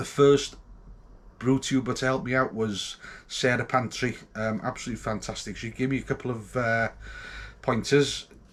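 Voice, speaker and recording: A man with a North Welsh accent, medium in pitch, with fairly even intonation. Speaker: homebrewer vlogger. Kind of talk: casual vlog. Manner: hesitant, many ums and ahs.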